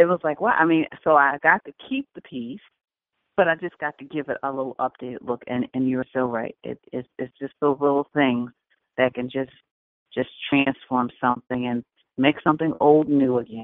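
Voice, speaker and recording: A woman with a very deep, low pitch talks at a moderate pace, with ordinary pitch variation and big swings in loudness. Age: 50s. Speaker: radio show host on home organizing. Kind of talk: casual talk radio interview.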